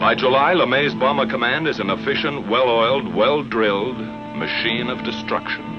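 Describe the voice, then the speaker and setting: A man speaks with music in the background. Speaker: narrator. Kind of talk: documentary narration.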